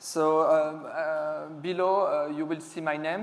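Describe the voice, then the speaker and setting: A voice with a French accent speaks in a monotone, flat intonation amid audible room echo. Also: man. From France. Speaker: security specialist, conference speaker. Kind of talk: conference talk. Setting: stage with audience. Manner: hesitant, many fillers.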